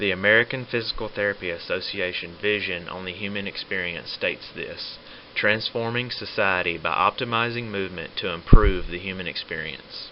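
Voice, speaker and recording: A man's fairly low-pitched voice, fairly quick with hardly any pauses, with ordinary pitch variation, big swings in loudness and noticeable background noise. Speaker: physical therapy student. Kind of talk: educational presentation.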